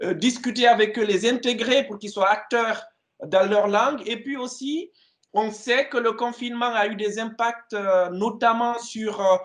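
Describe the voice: At a moderate pace, a man talks at an extremely high pitch with a fairly bright tone and fairly even intonation.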